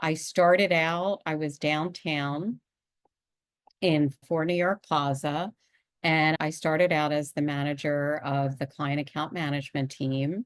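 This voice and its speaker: In a Pennsylvania accent, a woman with a very deep, low pitch talks at a fairly slow pace and with fairly even intonation, the sound dry and close with no echo over a quiet background. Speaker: executive coach and podcast host. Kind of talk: podcast monologue. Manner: conversational.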